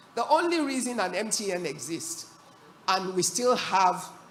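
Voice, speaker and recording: A woman with lively intonation over noticeable background noise. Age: 60s. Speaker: business executive and panelist. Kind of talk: panel discussion. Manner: animated.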